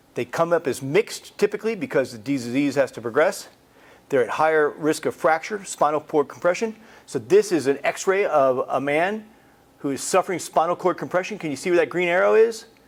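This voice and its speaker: An unremarkable speaking voice from a man, fairly high in pitch, with lively intonation at a fairly quick pace. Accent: American. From United States. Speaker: cancer researcher. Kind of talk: lecture. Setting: presentation to a support group.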